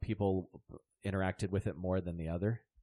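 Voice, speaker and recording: A man speaks with a dry, close sound that has no echo at all. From Southern Maryland, US. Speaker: comedian. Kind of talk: casual chat.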